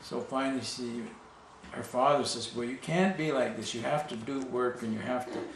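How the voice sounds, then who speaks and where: A medium-pitched male voice with ordinary pitch variation at a moderate pace, over noticeable background noise. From Ojibwe First Nations, Canada. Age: old. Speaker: storyteller of traditional legends. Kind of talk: oral storytelling to family. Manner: relaxed, conversational.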